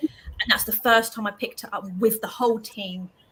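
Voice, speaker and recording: This woman has an ordinary speaking voice at a fairly high pitch. She talks at a fairly quick pace with fairly even intonation. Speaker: paranormal investigator. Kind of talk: casual panel chat on livestream.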